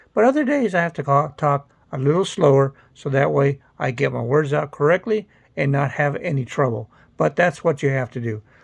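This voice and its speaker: A man's fairly high, somewhat breathy voice at a moderate pace, with ordinary pitch variation and a quiet background. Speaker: stroke survivor sharing recovery. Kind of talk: personal vlog talk. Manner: occasional word-finding hesitations.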